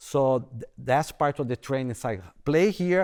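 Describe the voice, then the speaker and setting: Recorded very cleanly with a silent background, a man speaks at a moderate pace with lively intonation. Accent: strong non-native. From Brazil. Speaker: bassoon professor. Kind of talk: panel discussion. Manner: halting, repeats words.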